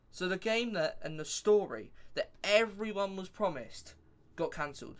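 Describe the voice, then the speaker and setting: With a high pitch, ordinary pitch variation and a moderate pace, a man talks. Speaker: gaming youtuber. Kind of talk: casual game review monologue. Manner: rambling with fillers; hesitant, self-correcting.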